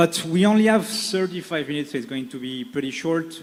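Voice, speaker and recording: With a French accent, a man speaks at a high pitch and a very fast pace. His pitch variation is ordinary. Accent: French accent (joked as Czech). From France. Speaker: panel moderator. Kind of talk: panel discussion moderation. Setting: stage with audience. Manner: hesitant, many fillers.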